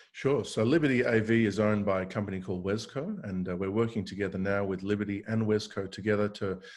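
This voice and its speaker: Against a quiet background, a man talks at a fairly quick pace, his fairly low voice keeping a fairly even intonation. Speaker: tech company founder and CEO. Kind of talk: interview discussion.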